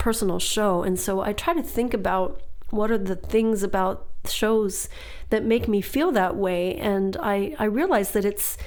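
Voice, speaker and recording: In a room with audible echo, a woman talks at a medium pitch with ordinary pitch variation. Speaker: singer and podcast host. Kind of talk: casual podcast monologue.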